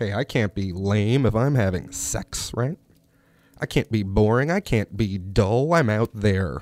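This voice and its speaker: A man's fairly low, animated voice at a fairly slow pace, in a very clean recording with a silent background. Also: lively intonation, dry, close sound with no echo. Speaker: radio host. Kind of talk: casual radio chat. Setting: studio. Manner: animated, joking.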